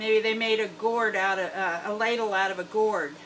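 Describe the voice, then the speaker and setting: A woman with an American accent talks at a moderate pace over noticeable background noise. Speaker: homestead farmer. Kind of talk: tutorial. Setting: greenhouse. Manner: casual.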